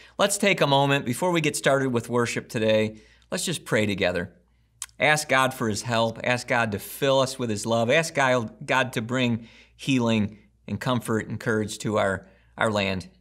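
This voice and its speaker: A man talks at moderate speed, pitch varying ordinarily, with quiet all around. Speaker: pastor. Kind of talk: sermon intro and prayer. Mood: earnest, gentle. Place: home room.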